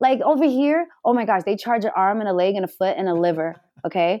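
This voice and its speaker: A woman with an American accent speaks at a fairly high pitch. Her voice makes very wide pitch swings. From New York City, the Bronx. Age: 30s. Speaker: podcaster and cannabis content creator. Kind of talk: casual chat.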